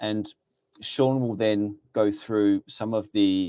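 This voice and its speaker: In a British accent, a man speaks at a fairly low pitch, recorded dry and close with no echo against a quiet background. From UK. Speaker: security company regional director. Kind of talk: webinar presentation. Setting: webinar.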